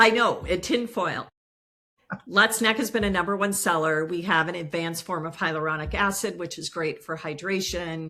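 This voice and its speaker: A woman speaks at a moderate pace in a plain, everyday voice. Her pitch is fairly low, with ordinary pitch variation. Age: 60s. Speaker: business founder and CEO. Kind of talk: interview.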